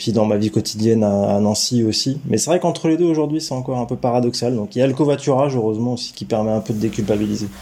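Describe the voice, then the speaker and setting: This man talks at a very fast pace with hardly any pauses. His pitch variation is ordinary. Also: medium pitch for a man. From France, Gâtinais countryside south of Paris. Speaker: local government mobility director. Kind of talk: interview. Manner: halting, frequent repetitions.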